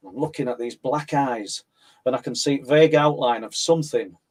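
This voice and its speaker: Talking at a moderate pace in a Yorkshire accent, a man has a fairly high pitch with ordinary pitch variation. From northern England, South Yorkshire (Mexborough area). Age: 60s. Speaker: paranormal researcher and author. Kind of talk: interview, personal testimony.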